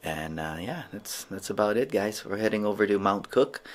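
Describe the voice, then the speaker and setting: The man's pitch is fairly low, with ordinary variation, and his pace is moderate. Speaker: travel vlogger. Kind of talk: casual vlog chat. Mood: mildly disappointed, upbeat. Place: home room. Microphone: phone near.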